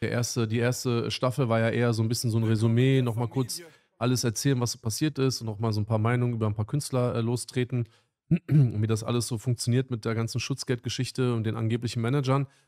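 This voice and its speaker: With a dark, mellow tone and monotone, flat intonation, a man talks at a very fast pace against a quiet background. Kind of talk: casual livestream chat. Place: studio. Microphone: studio mic.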